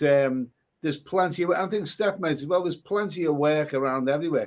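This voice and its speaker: Speaking at a very fast pace, a man with a fairly high pitch talks in a Liverpool accent. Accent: Liverpool (Scouse). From northern England, Liverpool. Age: 60s. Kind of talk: casual chat.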